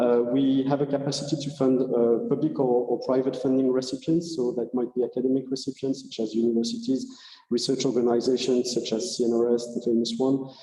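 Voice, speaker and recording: A man with a French accent speaks at a fairly quick pace, with hardly any pauses and a medium pitch. His intonation is monotone and flat, and there is noticeable background noise. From France. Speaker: research funding agency representative. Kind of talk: conference presentation. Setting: hybrid conference. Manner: halting, many fillers.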